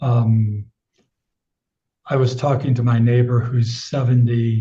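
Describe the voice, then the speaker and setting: With an American accent, a man talks at a medium pitch in a somewhat breathy voice. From United States. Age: 70s. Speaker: sex educator. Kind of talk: casual interview.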